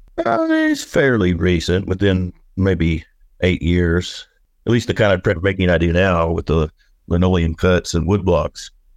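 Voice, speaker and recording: Against a quiet background, a man with an American accent speaks at a fairly slow pace with a very deep, low pitch, fairly even intonation and very even loudness. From Oklahoma. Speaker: artist. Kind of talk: casual interview.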